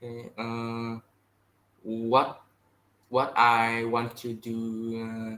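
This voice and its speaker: A man with a Vietnamese accent speaks at a very slow pace, leaving long, frequent pauses. His intonation is monotone and flat. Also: medium pitch for a man. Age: 20s. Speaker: English learner. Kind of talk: online language lesson. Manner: halting.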